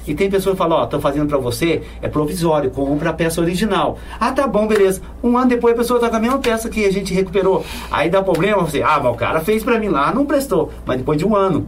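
Over noticeable background noise and audible room echo, a man with a high pitch talks at a very fast pace, with lively intonation and very even loudness. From São Paulo state, Brazil. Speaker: bike mechanic and cyclist. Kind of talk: casual interview. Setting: studio.

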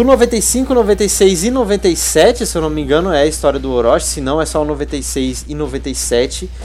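A man talks at a fairly slow pace with hardly any pauses. Background noise is noticeable. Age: 20s. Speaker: podcast host. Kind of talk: casual chat; reading aloud.

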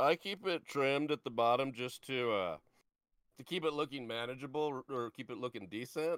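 A man's unremarkable speaking voice at medium pitch, with lively intonation, a moderate pace, and a dry, close sound free of echo. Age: 30s. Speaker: video game streamer. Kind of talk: casual chat.

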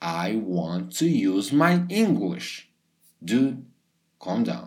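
Against audible room echo, a man with a Portuguese accent speaks at a very slow pace, his medium pitch making very wide swings. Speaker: English teacher. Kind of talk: podcast monologue for learners. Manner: casual, upbeat.

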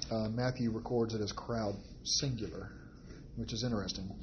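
The man's voice sits at medium pitch and is somewhat breathy. He talks at a moderate pace. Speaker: Bible study teacher. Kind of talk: Bible study teaching. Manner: hesitant with fillers.

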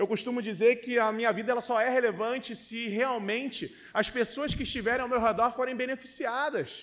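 With an animated tone, a man speaks at an extremely high pitch and a fairly quick pace, hardly pausing. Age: 30s. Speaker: pastor. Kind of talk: sermon.

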